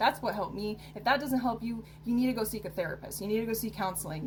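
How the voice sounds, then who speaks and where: Speaking very fast over noticeable background noise, a woman uses a fairly high pitch and fairly even intonation. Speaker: self-help vlogger. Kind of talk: casual advice monologue to camera. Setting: recording to camera. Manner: halting, with fillers.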